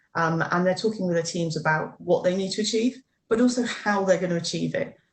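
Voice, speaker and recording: A woman's fry-edged voice at a very fast clip. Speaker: corporate HR speaker. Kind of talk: webinar presentation.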